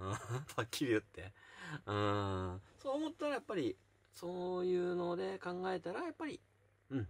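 A man speaking at a moderate pace, with long, frequent pauses. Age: 40s. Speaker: YouTuber; vlogger. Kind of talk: casual chat. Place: home room. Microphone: phone near.

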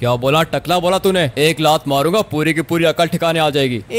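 Putting on a gruff character voice, a man talks at a moderate pace with a fairly high pitch and ordinary pitch variation. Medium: machinima. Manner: gruff, rude, bossy.

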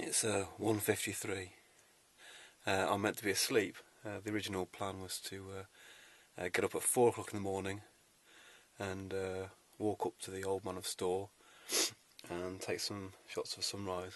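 A man with a fairly low pitch and monotone, flat intonation, long, frequent pauses, and a dry sound with no echo. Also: moderate pace. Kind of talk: casual vlog chat. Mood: wry, itchy and irritated. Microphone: phone near.

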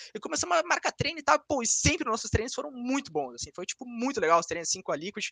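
Against a quiet background with a dry sound and no echo, a man talks at a very fast pace in a raised, projected voice, with an extremely high pitch, very wide pitch swings and a bright, sharp tone. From Brazil. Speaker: esports player; guest. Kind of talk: interview. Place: home room. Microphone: video call.

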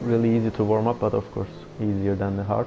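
This man has a fairly low pitch and a non-native accent. Noticeable background noise runs under his voice. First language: not English. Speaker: esports race commentator. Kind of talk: live commentary. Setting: recorded video commentary of game. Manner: halting, filler-heavy.

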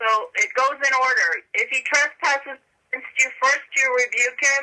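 A woman speaks in a raised, projected voice at a high pitch. Her tone is bright and sharp, and her pace is moderate. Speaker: prayer call participant. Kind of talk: casual chat on prayer call.

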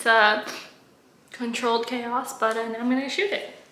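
A woman's high-pitched voice, fairly even in intonation, comes through with audible room echo and noticeable background noise. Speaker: food photographer vlogger. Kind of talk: casual vlog.

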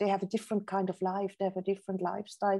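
Against a quiet background, a woman speaks at a medium pitch with a dark, mellow tone. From Switzerland. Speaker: professor and author; professor. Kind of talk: lecture; Q&A answers. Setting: video call. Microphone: video call.

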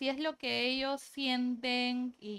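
The woman's voice sits at a high pitch. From Peru, Piura; Peru. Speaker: labor law specialist; interview guest. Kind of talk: casual interview. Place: studio. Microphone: lapel.

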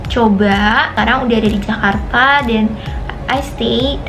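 Clear music plays behind a woman. She talks at a fairly slow pace. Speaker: travel vlogger. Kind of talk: casual vlog chat. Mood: excited, cheerful. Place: home room. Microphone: phone near.

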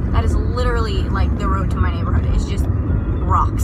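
Loud background noise surrounds a woman's voice, which sounds dry with no echo. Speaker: vlogger. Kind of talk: casual vlog chat. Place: car. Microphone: phone near.

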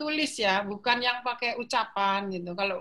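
Over a quiet background, a woman with a bright, sharp tone speaks at a moderate pace. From Jakarta, Indonesia. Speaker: professor of philology. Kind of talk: interview. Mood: cheerful, animated. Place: home room. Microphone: video call.

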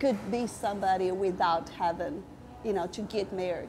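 A woman at a fairly slow pace with ordinary pitch variation, music playing in the background. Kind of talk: interview answer. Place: cafe.

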